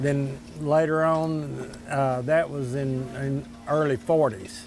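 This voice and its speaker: A man with an Arkansas accent talks at a very slow pace, with audible room echo and noticeable background noise. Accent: southern US (Arkansas). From Arkansas, Desha County. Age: 60s. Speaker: local diner customer. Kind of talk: interview. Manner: halting.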